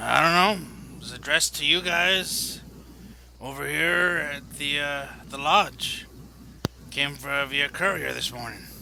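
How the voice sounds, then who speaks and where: A man's raspy, put-on character voice, fairly high in pitch, at a fairly slow pace with long, frequent pauses, over clear background noise. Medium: actual play. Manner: casual, easygoing.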